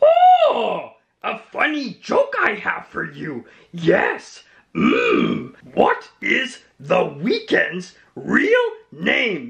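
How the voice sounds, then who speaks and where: A man uses a cartoonish character voice with a playful tone. He talks at a very slow pace. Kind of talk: comedy sketch. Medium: puppet. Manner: playful, inverted word order.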